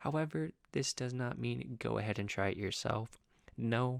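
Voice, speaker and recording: Soft-spoken and fairly slow, a man is heard dry and close with no echo on a very clean recording with a silent background. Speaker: student teacher. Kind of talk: educational talk to camera.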